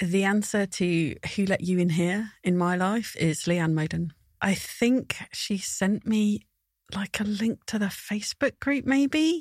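On a very clean recording with a silent background, a woman speaks at a very slow pace with very even loudness. Her medium-pitched, somewhat breathy voice carries lively intonation. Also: dry, close sound with no echo. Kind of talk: casual chat.

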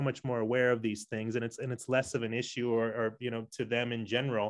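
Speaking at a fairly quick pace with an American accent, a man uses a normal speaking voice at medium pitch. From San Diego, California. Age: 40s. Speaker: podcast host. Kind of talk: interview conversation.

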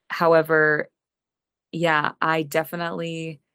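Fairly even intonation in a Canadian accent, with dry, close sound and no echo. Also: woman. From Western Canada (British Columbia interior). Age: young. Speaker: singer-songwriter. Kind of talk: interview. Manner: casual, repeats words.

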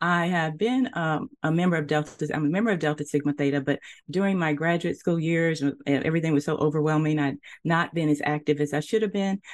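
With an American accent, this woman talks at a fairly quick pace in a very deep, low voice, her loudness staying very even. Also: ordinary pitch variation, quiet background. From US South, Nashville, Tennessee. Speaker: history professor and author. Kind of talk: interview.

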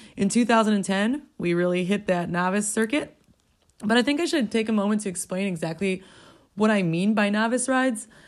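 Speech comes at a moderate tempo. The recording is spotless, with total silence behind it. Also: woman, medium pitch for a woman, ordinary pitch variation. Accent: American. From Milwaukee, Wisconsin, US. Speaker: endurance rider. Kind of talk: recorded personal story.

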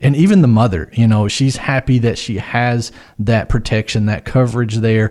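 A normal speaking voice with an American accent moves at a moderate pace and ordinary pitch variation. The recording is very clean, with a silent background. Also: man, medium pitch for a man. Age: 40s. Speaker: financial advisor. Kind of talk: casual chat.

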